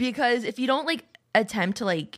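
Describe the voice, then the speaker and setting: A woman talks at a very fast pace. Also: dry, close sound with no echo. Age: 20s. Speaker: streamer and podcast co-host. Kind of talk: casual chat. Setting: live stream.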